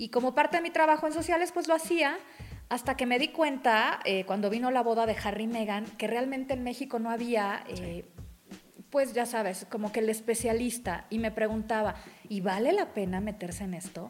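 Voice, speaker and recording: A woman speaks in an ordinary speaking voice at a moderate pace. Her pitch is fairly high and her intonation lively. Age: 40s. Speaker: journalist on royalty and etiquette. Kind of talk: casual interview.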